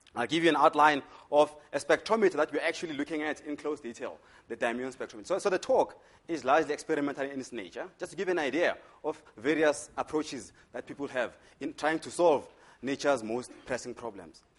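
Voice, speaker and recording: Here a man talks at a very fast pace with a strong Zulu accent. His pitch is fairly high, with ordinary pitch variation. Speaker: physics lecturer. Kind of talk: lecture.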